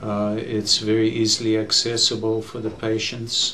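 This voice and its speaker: There is light background noise as a man speaks. He talks at a fairly slow pace. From South Africa. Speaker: physician, general internist. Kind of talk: interview answer. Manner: hesitant, many filler words. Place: studio.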